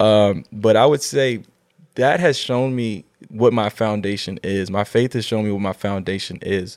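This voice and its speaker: A man talks in an ordinary speaking voice with an American accent, pitched fairly low. His pace is moderate and his pitch varies in an ordinary way. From Virginia, Lynchburg. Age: 20s. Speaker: photographer and entrepreneur. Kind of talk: casual chat.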